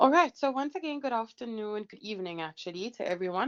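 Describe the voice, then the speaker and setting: A woman speaks at a fairly quick pace in a fairly high pitch, her voice swinging very widely, with a dry, close sound, no echo and a quiet background. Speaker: lecturer. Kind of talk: online exam-prep lecture.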